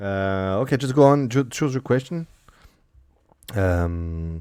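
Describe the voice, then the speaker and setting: Very slow and dark, mellow in tone, a man's voice carries lively intonation. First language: French. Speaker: streamer and interviewer. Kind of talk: casual interview. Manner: halting.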